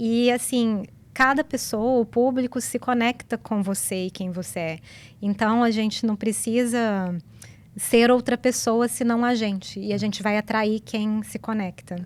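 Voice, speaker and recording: A woman at fairly high pitch speaks at a fairly slow pace with fairly even intonation, on a very clean recording with a silent background. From Brazil. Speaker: business coach. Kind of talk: interview. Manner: calm.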